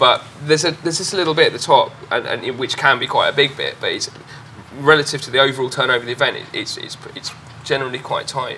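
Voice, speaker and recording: Over noticeable background noise, the speech runs at a very fast pace with big swings in loudness. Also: man. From Norfolk, eastern England. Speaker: club and festival promoter. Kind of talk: panel discussion. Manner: halting, many repetitions.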